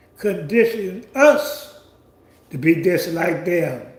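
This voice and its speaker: Audible room echo carries this man's voice. His intonation is lively. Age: 70s. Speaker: commentary channel host. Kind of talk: monologue commentary. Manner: halting.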